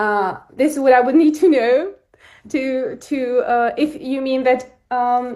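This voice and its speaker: A woman with a non-native accent speaks at a very slow pace. Her high voice has a dark, mellow tone and ordinary pitch variation. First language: not English. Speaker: coaching program participant. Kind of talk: live coaching session. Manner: halting.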